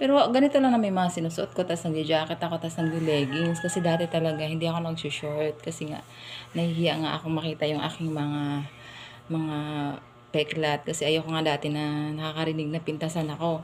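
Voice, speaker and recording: Noticeable background noise sits behind a woman's very deep, low voice. She talks at a fairly quick pace. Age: 30s. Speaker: vlogger. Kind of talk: casual storytelling monologue. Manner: animated, laughing often.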